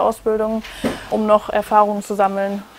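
Fairly high-pitched woman's voice amid noticeable background noise. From Germany, Wuppertal. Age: 20s. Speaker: trainee podiatrist. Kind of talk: interview testimony.

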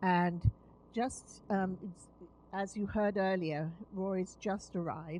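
A woman's fairly low, dark, mellow voice at a fairly slow pace, with fairly even intonation.

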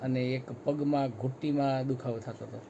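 This man's pitch sits in the medium range. He talks with monotone, flat intonation. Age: 60s. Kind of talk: testimonial interview.

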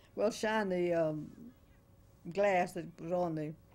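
A woman's dark, mellow tone in a Florida accent. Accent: Southern US (Florida). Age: 90s. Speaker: interview subject, oral history elder. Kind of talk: oral history interview, reminiscing. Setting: interview at her home, video recorded. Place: home room. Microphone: old recording.

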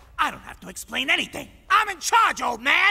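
A man puts on a cartoonish character voice at an extremely high pitch, talking at a moderate pace. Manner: bullying, barking, contemptuous.

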